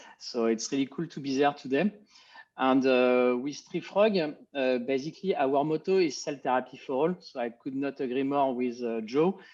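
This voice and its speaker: This man has a French accent and a fairly high pitch with ordinary variation. He talks at a moderate pace. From France. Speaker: biotech company executive. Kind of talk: panel discussion.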